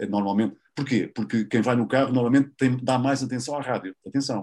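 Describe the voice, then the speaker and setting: With a European Portuguese accent, a man talks at a medium pitch and with lively intonation in a very clean recording with a silent background. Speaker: radio host. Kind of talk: interview. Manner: animated; casual.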